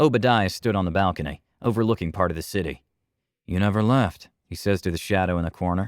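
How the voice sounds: The background stays quiet. A natural reading voice carries ordinary pitch variation.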